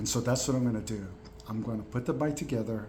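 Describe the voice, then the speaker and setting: The voice is a man's. It sits at a medium pitch. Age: 60s. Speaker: veteran program participant. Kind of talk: casual talk to camera. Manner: hesitant, many fillers.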